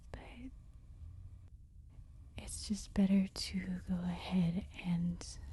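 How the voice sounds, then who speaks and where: A woman speaking at a very slow pace, with long, frequent pauses. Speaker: crochet instructor. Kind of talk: ASMR crochet tutorial. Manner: slow, gently spoken.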